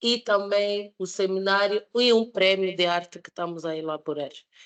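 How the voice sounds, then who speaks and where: Speaking with a German accent against a quiet background, a woman talks at a fairly slow pace and a medium pitch. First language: German (speaking Portuguese). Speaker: master's student and social entrepreneur presenting a project. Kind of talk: presentation at a public debate. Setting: public debate event with live audience. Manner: halting, with fillers and repetitions.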